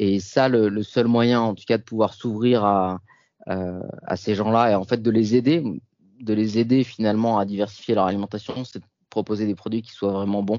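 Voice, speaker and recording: A man speaks at a moderate pace with a fairly low pitch and fairly even intonation. His loudness swings a lot. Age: 30s. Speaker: founder of a plant-based cheese brand. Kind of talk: interview. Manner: hesitant, frequent fillers and repetitions.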